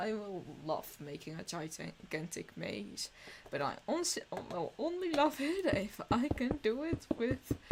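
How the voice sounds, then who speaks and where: A woman with a Dutch accent, high in pitch with very wide swings, at a very slow pace. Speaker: streamer. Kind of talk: casual live-stream commentary while gaming. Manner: halting, with self-corrections.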